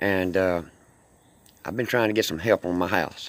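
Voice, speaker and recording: A man with a Mississippi accent. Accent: Mississippi Southern US. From US South. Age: 60s. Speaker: homeowner seeking help. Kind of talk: personal appeal video.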